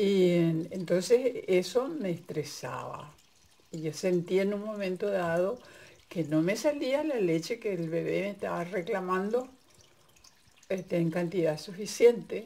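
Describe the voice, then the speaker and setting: A woman's medium-pitched voice with a dark, mellow tone, lively intonation and a fairly slow pace. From Paraguay. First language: Guarani (speaking Spanish). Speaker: migrant sharing personal experience. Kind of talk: personal testimony. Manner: halting.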